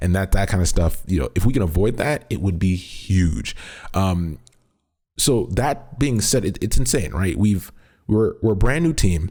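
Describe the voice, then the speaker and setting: A man's fairly low, somewhat breathy voice with a dark, mellow tone and lively intonation, on a very clean recording with a silent background. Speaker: esports podcast host. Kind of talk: solo podcast commentary. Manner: fast; casual, filler-heavy.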